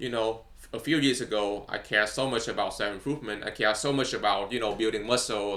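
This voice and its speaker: With a non-native accent, the speaker uses a bright, sharp tone, fairly even intonation and a moderate pace. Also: man. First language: not English. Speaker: vlogger. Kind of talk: casual monologue. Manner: halting, many fillers.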